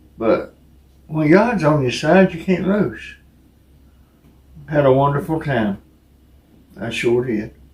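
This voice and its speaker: A man talks very slowly in a fairly high, somewhat breathy voice with lively intonation. He leaves long pauses often. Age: 60s. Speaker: co-host taste tester. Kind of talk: casual chat.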